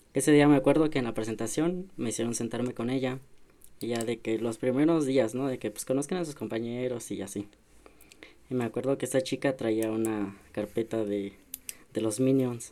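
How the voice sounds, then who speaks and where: Here a man speaks at a medium pitch and moderate pace. His tone is dark and mellow, with ordinary pitch variation. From rural San Luis Potosí, Mexico. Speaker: podcast co-host. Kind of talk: casual chat.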